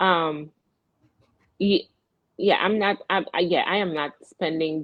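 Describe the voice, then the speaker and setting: The speaker has a Virgin Islands accent. Pitch varies in an ordinary way. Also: woman. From US Virgin Islands. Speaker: radio show host. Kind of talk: casual chat. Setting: live broadcast, remote. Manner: animated, halting.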